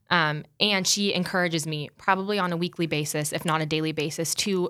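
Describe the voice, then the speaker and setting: A woman with an American accent, fairly low pitch and a bright, sharp tone, speaking at a fairly quick pace with hardly any pauses, in a very clean recording with a silent background. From US Midwest, South Dakota. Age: 20s. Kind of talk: casual interview chat.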